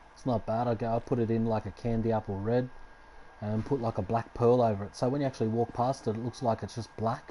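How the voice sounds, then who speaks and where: A man with an Australian accent talks in a relaxed tone. His intonation is monotone and flat. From Australia, Sydney. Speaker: gaming streamer. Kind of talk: live stream gameplay commentary. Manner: casual, relaxed.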